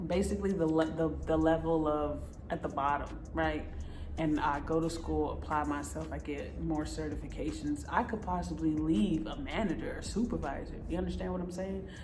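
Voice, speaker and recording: Moderate pace and an American accent, with audible room echo and noticeable background noise. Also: woman. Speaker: vlogger on overseas contracting jobs. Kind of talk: casual vlog talk to camera.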